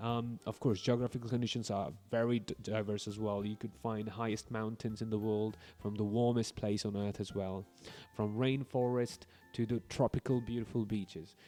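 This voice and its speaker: With music playing in the background, a man talks in a fairly low voice with fairly even intonation. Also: moderate pace. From India. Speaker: English teacher. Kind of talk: podcast interview. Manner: hesitant fillers.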